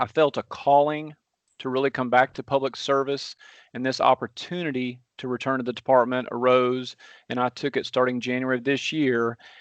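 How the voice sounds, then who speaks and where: With a strong Southern US accent, a man talks at a fairly quick pace. His intonation is monotone and flat. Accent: deep Southern twang. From US South. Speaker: transportation engineer. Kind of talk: technical presentation.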